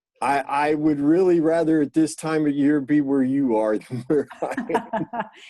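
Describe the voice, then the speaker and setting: In a normal speaking voice, a man talks at a moderate pace with a fairly high pitch and ordinary pitch variation. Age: 50s. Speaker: musician. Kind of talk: interview answer.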